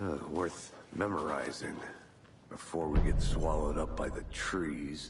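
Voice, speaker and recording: A man does a put-on character voice with a very deep, low pitch and a fairly slow pace. Clear background noise can be heard. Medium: video game. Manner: dry, laconic.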